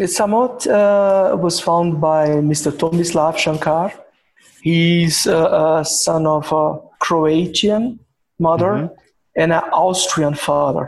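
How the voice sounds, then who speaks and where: A man with a Portuguese accent speaks at a very slow pace in a high pitch. His loudness stays very even, and his pitch varies in an ordinary way. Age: 50s. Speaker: executive of a machining company. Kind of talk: interview. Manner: halting.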